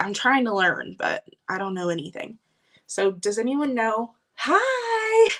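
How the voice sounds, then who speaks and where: Raising and projecting her voice, a woman swings very widely in pitch. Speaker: vintage collector livestreamer. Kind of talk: live stream haul. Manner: fast; animated.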